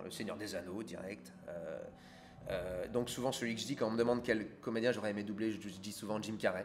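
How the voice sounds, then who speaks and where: A man talks fairly quickly at a fairly low pitch with ordinary pitch variation. Audible room echo and noticeable background noise fill the recording. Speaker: voice actor. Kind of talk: interview.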